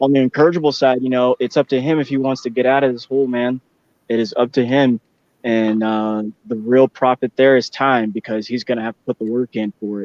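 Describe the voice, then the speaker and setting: Moving at a fairly quick pace, a man has an ordinary speaking voice at medium pitch, with fairly even intonation and big swings in loudness. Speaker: boxing talk show host. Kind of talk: casual chat.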